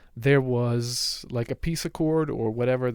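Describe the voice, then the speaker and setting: Someone with a Swedish accent speaks at a fairly slow pace. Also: man. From Sweden. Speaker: political commentator. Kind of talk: unscripted livestream commentary. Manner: halting, many fillers and restarts.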